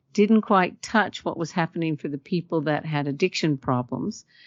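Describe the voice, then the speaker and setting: A woman speaks with an Australian accent. Her pitch is fairly low, with ordinary variation. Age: 60s. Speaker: behavioral specialist, trauma and anxiety therapist. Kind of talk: casual interview chat.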